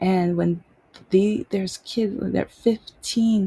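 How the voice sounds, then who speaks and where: Speaking very slowly, a woman with an American accent has a medium-pitched, dark, mellow, somewhat breathy voice, recorded dry and close with no echo. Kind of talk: casual monologue vlog. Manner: halting.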